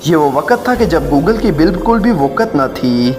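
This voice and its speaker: Over music in the background, a man with a fairly high voice speaks with very wide pitch swings. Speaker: narrator. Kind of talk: history fact narration.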